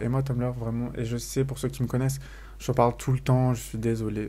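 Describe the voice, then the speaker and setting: A man's dark, mellow voice with flat, monotone intonation. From France. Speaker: YouTuber. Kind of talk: casual vlog monologue. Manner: casual with many fillers.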